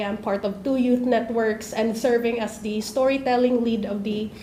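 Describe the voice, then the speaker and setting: The speaker talks with a Filipino accent in a monotone, flat delivery with hardly any pauses. Room echo is audible and background noise is noticeable. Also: woman. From Philippines, Leyte. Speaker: student activist. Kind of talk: panel introduction. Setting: conference session, streamed live.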